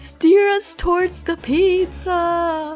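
Faint music plays in the background behind a shrill, put-on character voice pitched extremely high. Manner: screeching.

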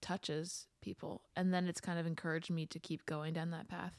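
A woman's fairly low voice with a slight Philadelphia accent on a very clean recording with a silent background. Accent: slight Philadelphia-area. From Pennsylvania, outside Philadelphia. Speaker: singer-songwriter. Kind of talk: casual interview chat.

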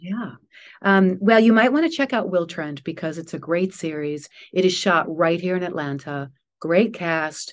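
A woman speaks in an ordinary speaking voice at a fairly low pitch. Her intonation is lively, over a quiet background. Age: 60s. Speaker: actress. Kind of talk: interview.

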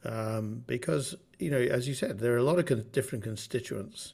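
Here a man speaks with a southern English accent at a moderate pace. His voice sits at medium pitch with ordinary pitch variation. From southern England, Bath. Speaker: orchestra manager. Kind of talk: interview.

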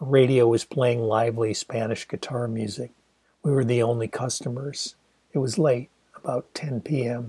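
A somewhat breathy, dark, mellow voice with fairly even intonation, dry and close with no echo. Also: man, medium pitch for a man, moderate pace. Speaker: author reading own novel. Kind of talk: literary audiobook reading. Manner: measured, expressive storytelling pace; descriptive, wry, intimate narration.

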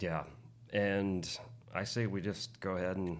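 A man's very deep, low voice. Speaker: podcast co-host. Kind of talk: casual chat. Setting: studio.

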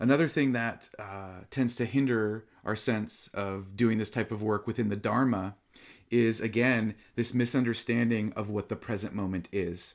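On a very clean recording with a silent background, a man with an unremarkable speaking voice and medium pitch talks at a moderate pace with fairly even intonation. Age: 40s. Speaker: meditation teacher. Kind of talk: dharma talk.

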